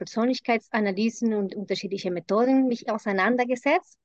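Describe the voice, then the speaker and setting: Her voice is fairly high, with a Spanish accent and ordinary pitch variation, as this woman speaks. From Colombia. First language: Spanish (speaking German). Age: middle-aged. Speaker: intercultural consultant. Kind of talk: casual interview. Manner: halting with fillers.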